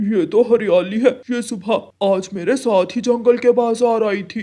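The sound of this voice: A man speaks at a moderate pace in a high-pitched, cartoonish character voice.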